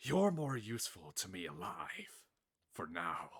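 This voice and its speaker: A man puts on a character voice at fairly low pitch. It comes out raspy and rumbling. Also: fairly slow pace. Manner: menacing.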